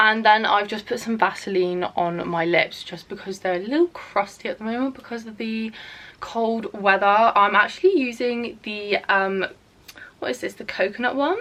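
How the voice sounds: At a moderate pace, a woman speaks with a medium pitch, a fairly bright tone and ordinary pitch variation.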